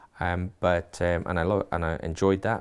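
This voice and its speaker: In a very clean recording with a silent background, a man with a very deep, low pitch speaks fairly slowly. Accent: slight Geordie. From Newcastle, northern England. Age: 60s. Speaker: college principal. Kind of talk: interview. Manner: hesitant, many fillers.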